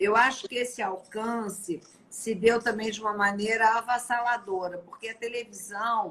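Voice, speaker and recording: Using a plain, everyday voice, a woman speaks at a moderate pace and fairly high pitch, her intonation fairly even but her loudness swinging widely. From Brazil. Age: 50s. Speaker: live-stream host. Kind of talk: casual interview chat. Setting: live stream.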